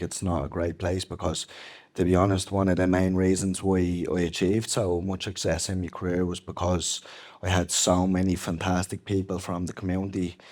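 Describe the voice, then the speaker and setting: At a fairly quick pace, a man with a Dublin accent speaks in a very deep, low, monotone voice with flat intonation, in a very clean recording with a silent background. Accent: Dublin Irish. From Ireland, Dublin inner city. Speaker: former MMA fighter. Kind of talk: interview. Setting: stage with audience.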